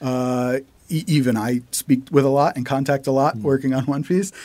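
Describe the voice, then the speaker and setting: A man with an American accent has an ordinary speaking voice with fairly high pitch. He talks at a fairly quick pace in a very clean recording with a silent background. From United States. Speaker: animator. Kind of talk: casual interview chat.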